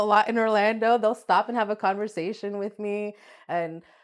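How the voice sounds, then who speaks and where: A woman with a plain, everyday voice speaks at a moderate pace. Her pitch is medium, and she has an American accent. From Florida, Volusia County. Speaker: massage therapist. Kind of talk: interview.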